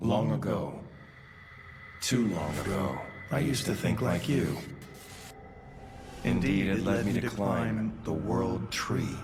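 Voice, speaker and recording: Over clear background noise, a man puts on a cartoonish character voice with a very deep, low pitch. He delivers it at a fairly slow pace. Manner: slow, reflective.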